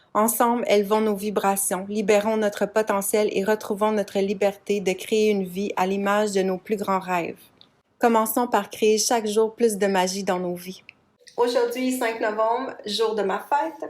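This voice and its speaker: A woman talks in an unremarkable speaking voice with a fairly high pitch. Her pace is fairly slow and her intonation fairly even. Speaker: podcast host, massage therapist, hypnotherapist, coach. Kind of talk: casual personal podcast monologue. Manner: conversational, informal, storytelling.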